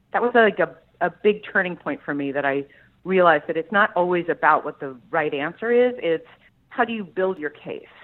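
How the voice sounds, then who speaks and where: Fairly low in pitch, a woman's voice carries lively intonation. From US Midwest (Columbus, Ohio). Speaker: trade association CEO, engineer. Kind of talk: interview.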